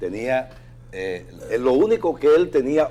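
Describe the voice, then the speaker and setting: The man speaks with lively intonation. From Dominican Republic, Bajo Yuna region. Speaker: prosecutor, lawyer. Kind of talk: talk show interview.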